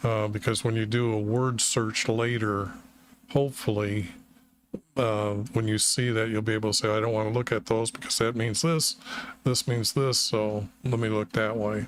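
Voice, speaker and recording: A man speaks in a flat, monotone way at a very even loudness. Noticeable background noise runs underneath. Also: medium pitch for a man, moderate pace. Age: 60s. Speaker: bible text editor and video maker. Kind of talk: screen-recorded editing tutorial. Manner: hesitant, filler-heavy.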